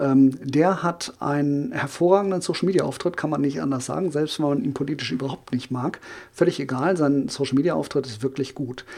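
Fairly high-pitched for a man, this is an ordinary speaking voice with ordinary pitch variation, delivered at a fairly quick pace. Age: 40s. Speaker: social media marketing consultant. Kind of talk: podcast interview.

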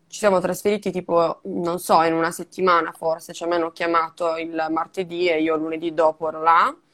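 A woman speaks at a fairly quick pace with hardly any pauses. Her fairly low voice stays monotone and flat. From Sardinia, Italy. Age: 20s. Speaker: digital strategist and podcaster. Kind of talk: casual interview.

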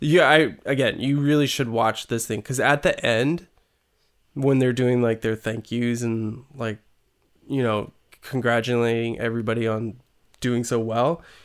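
Here is a man with a normal speaking voice at medium pitch. He goes at a fairly slow pace with fairly even intonation. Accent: American. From California. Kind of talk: casual chat.

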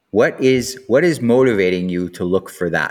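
A man delivers his words fairly slowly. The background is silent on this very clean recording. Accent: Canadian. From Canada. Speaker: podcast host, sex educator. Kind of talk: casual monologue. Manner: animated.

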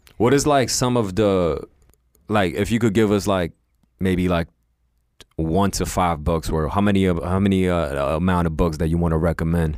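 Very deep and low, a man's voice moves at a moderate pace with ordinary pitch variation and very even loudness. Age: 30s. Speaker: podcast co-host. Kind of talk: casual interview. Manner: casual.

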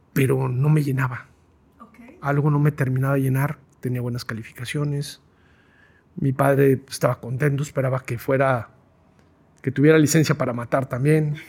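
Somewhat breathy and monotone, a man speaks with flat intonation and big swings in loudness. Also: medium pitch for a man, moderate pace. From Guadalajara, Mexico. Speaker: process improvement consultant. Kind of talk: interview conversation.

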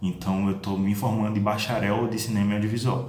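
Music sits in the background while a man talks amid audible room echo. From Sergipe, Brazil (Aracaju). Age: 20s. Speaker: podcaster and film student. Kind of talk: interview.

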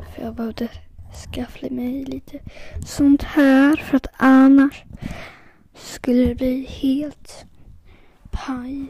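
With long, frequent pauses, the speech moves very slowly against noticeable background noise. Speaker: podcaster testing a microphone. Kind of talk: casual solo monologue. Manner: halting.

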